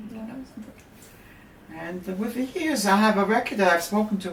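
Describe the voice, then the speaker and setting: Lively intonation at a moderate pace, with audible room echo and noticeable background noise. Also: woman. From Germany. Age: 80s+. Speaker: Holocaust survivor. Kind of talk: interview. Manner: halting.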